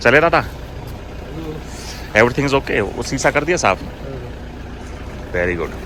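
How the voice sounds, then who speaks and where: Medium-pitched man with an animated tone and very wide pitch swings, moderate pace, long, frequent pauses, and noticeable background noise. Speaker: travel vlogger. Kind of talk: casual travel vlog. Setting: outdoors.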